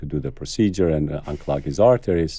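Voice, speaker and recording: A man's very deep, low voice with a dark, mellow tone and an Albanian accent. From Kosovo. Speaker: cardiologist. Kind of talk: interview.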